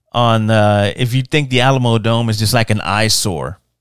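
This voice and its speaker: The recording is very clean, with a silent background, and the speech moves at a moderate pace. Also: man. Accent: Texan. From San Antonio, Texas. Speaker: podcast host. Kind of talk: casual monologue.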